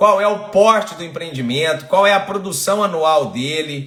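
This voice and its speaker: In a room with audible echo, a man speaks at a moderate pace with a high pitch and lively intonation. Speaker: environmental consultant and online course host. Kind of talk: live-stream lecture. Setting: live stream. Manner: animated, engaging.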